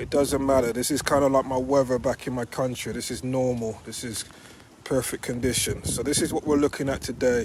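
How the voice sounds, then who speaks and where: A man with a British accent talks at a fairly quick pace and medium pitch. Noticeable background noise runs underneath. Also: fairly even intonation. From Britain. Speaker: real estate agent. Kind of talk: on-site property walkthrough talk to clients.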